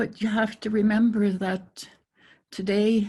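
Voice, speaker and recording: A woman's somewhat breathy voice carries a dark, mellow tone and monotone, flat intonation. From northwest Saskatchewan, Canada. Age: 80s+. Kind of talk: panel discussion. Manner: halting, many repetitions.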